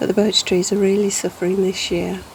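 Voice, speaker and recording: Over noticeable background noise, a woman speaks at medium pitch in a relaxed tone with flat, monotone intonation. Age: 60s. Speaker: wildlife gardener vlogger. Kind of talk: casual vlog narration. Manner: relaxed, hesitant with fillers.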